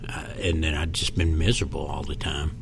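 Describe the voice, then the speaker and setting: A man with an American accent speaks at a very deep, low pitch. Audible room echo and noticeable background noise accompany him. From Kentucky, Louisville. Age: 60s. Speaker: comedian. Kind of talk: casual chat. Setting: podcast interview.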